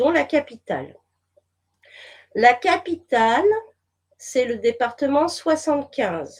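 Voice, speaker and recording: A woman with a high pitch makes very wide pitch swings, talking at a very slow pace with long, frequent pauses. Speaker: whistleblower and therapist. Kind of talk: interview.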